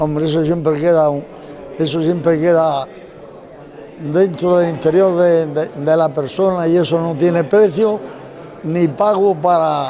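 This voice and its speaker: A man's high-pitched voice at a fairly slow pace, with fairly even intonation, long, frequent pauses, audible room echo and noticeable background noise. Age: 90s. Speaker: retired civil guard traffic officer. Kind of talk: interview.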